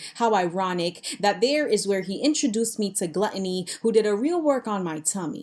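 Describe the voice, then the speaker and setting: The speaker has a plain, everyday voice, a moderate pace and lively intonation. The recording is very clean, with a silent background. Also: woman. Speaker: spoken word poet. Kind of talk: spoken word poetry performance.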